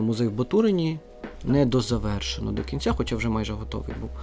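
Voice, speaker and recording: Someone talks at a very fast pace. Music plays in the background. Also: man. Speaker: museum director and historian. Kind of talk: interview. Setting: museum library.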